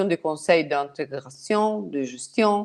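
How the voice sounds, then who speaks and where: With a non-native accent, a woman speaks fairly slowly using lively intonation. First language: not French (speaking French). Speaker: partner alliance manager. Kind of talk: webinar presentation. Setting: online webinar. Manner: halting, many hesitations.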